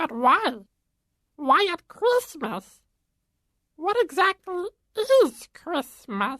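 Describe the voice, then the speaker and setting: This put-on character voice is squeaky and extremely high, with very wide pitch swings. It moves at a very slow pace with long, frequent pauses. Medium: audio drama. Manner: formal, literal, inquisitive.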